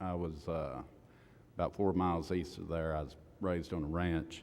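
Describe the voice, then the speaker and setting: There is audible room echo as a man speaks with a Southern US accent. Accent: southern drawl. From Oklahoma, Bray. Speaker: recovery house manager. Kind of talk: testimony. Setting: church service.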